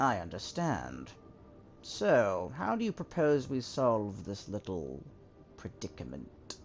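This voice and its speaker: Using a put-on character voice, a man speaks at a fairly low pitch with very wide pitch swings. Clear background noise is present. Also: fairly slow pace. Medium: game stream. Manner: dry, sardonic, patronizing.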